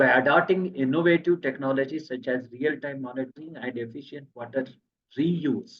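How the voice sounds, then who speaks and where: This man has a medium pitch and fairly even intonation. He speaks at a fairly quick pace. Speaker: engineering expert giving technical talk. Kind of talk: technical presentation. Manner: fast.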